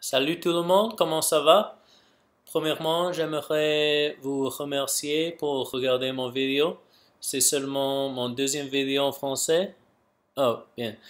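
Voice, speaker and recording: Here a man with an English accent speaks at a very slow pace. His pitch is fairly high and his intonation fairly even. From Canada, Vancouver. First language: English (speaking French). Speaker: YouTuber, language learner. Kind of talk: casual vlog monologue. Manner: halting.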